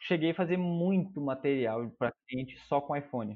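With lively intonation, a man with an unremarkable speaking voice talks at a moderate pace. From Manaus, Brazil. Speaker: videomaker. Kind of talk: casual chat.

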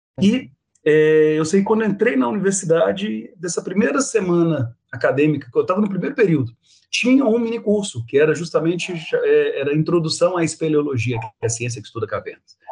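This man's high-pitched voice swings very widely in pitch as he talks at a fairly quick pace. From Minas Gerais, Brazil (Belo Horizonte). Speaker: biology professor. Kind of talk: interview.

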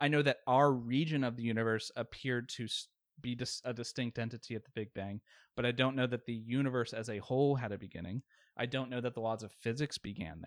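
With an American accent, a man at a medium pitch talks at a very fast pace with fairly even intonation, recorded very cleanly with a silent background and a dry, close sound with no echo. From Virginia, Richmond. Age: 30s. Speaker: atheist debate guest, engineer and war veteran. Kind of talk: casual debate.

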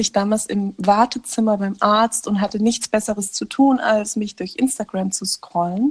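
A woman speaks in a somewhat breathy voice, and the sound is dry and close with no echo. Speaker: podcast co-host. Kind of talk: casual chat. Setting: remote call from a caravan. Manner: animated, laughing often. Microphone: muffled, recording under a blanket.

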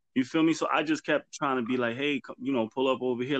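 A plain, everyday voice with an American accent and ordinary pitch variation comes through in a dry, close sound with no echo. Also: man. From New York City, the Bronx. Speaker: podcast host. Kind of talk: casual chat.

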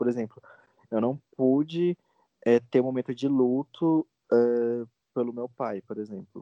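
A man speaks at a fairly slow pace with a medium pitch. His pitch varies in an ordinary way, and he leaves long, frequent pauses. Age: 20s. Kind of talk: interview testimony. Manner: halting.

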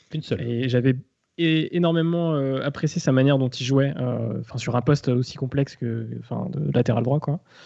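With ordinary pitch movement and a mid-range voice, a man talks at a moderate speed. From Rennes, Brittany, France. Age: 20s. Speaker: football supporter, social media account. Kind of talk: casual chat.

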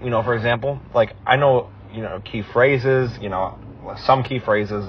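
In a normal speaking voice, a man with an American accent talks at medium pitch with ordinary pitch variation. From United States. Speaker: podcast co-host. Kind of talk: casual chat.

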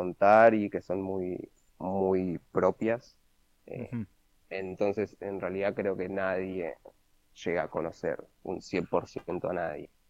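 A man talks at a very slow pace in a fairly low pitch. His intonation is monotone and flat. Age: 20s. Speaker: interview guest. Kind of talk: casual interview. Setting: at home during lockdown.

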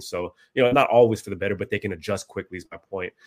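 Very fast speech from a man with a fairly low voice and fairly even intonation. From US West Coast, San Francisco Bay Area (born in the Philippines, moved young). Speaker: online trading card seller and vlogger. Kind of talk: casual interview chat.

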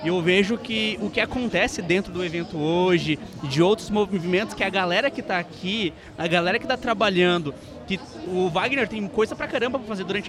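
Against noticeable background noise, the words come out at a very fast pace. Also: man. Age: young. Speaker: podcast co-host. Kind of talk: casual interview. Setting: live event.

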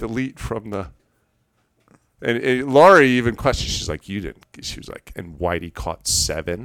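A man with an American accent, at a moderate pace with very wide pitch swings, in a very clean recording with a silent background. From New York (Long Island). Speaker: outdoor enthusiast. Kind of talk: casual chat.

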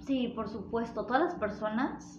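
Fairly slow speech from a woman, fairly high in pitch, with audible room echo and noticeable background noise. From Mexico, northern Jalisco. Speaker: podcast guest. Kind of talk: casual chat.

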